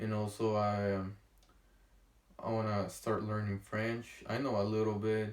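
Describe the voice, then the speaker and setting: A man with a strong Honduran accent speaks at a fairly low pitch. His intonation is monotone and flat, broken by long, frequent pauses. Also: fairly slow pace. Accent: thick Honduran Spanish. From Honduras. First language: Spanish. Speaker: vlogger. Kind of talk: casual vlog monologue. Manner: halting, many fillers and pauses.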